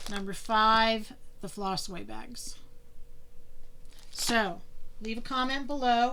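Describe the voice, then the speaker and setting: A very slow pace in an American accent, with long, frequent pauses and audible room echo. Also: woman, fairly high pitch for a woman, ordinary pitch variation. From Pennsylvania. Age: 60s. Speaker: cross-stitch vlogger. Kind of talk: casual video monologue.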